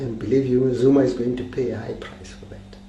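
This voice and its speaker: Noticeable background noise and audible echo from the room around a man's speech. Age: 70s. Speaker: political commentator. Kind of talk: political talk. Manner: halting.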